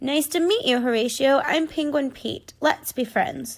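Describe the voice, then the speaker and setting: In a put-on character voice, a woman talks at a moderate pace with a raspy, high pitch, on a very clean recording with a silent background. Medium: read story.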